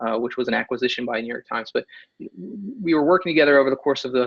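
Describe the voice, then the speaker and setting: His pitch sits in the middle range for a man, and it rises and falls in an ordinary way. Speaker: author and innovation consultant. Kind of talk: webinar presentation. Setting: online webinar. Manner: fast; many fillers and restarts.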